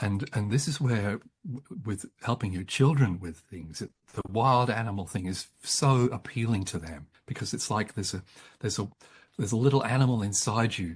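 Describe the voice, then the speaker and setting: With an Australian accent, a man speaks at a medium pitch. His voice is somewhat breathy. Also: ordinary pitch variation, moderate pace, quiet background. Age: 70s. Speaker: psychologist and author. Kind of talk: interview about psychology. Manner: halting, frequent repetitions.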